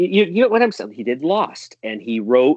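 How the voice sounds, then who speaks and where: A man with an American accent swings his pitch very widely, recorded with a dry, close sound and no echo. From US Northeast, northern Connecticut. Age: 40s. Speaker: podcast guest, fan commentator. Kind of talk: casual chat.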